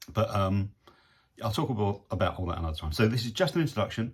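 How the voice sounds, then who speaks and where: In a very clean recording with a silent background, a man with an English accent speaks very fast, somewhat breathy and with lively intonation. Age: 60s. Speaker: photographer and video vlogger. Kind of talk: casual video diary. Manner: hesitant, many fillers.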